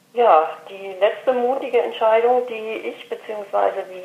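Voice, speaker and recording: Monotone, flat intonation from a woman amid noticeable background noise. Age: 50s. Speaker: café owner. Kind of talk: interview. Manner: hesitant, many filler sounds.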